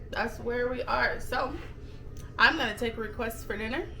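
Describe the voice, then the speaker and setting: A woman speaks in a raised, projected voice amid noticeable background noise and audible room echo. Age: 30s. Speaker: vlogger. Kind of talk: casual chat.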